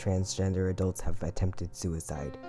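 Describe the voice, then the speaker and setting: Music plays in the background while a man speaks with a very deep, low pitch. His tone is serious and his pace moderate. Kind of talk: personal narration. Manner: earnest, serious.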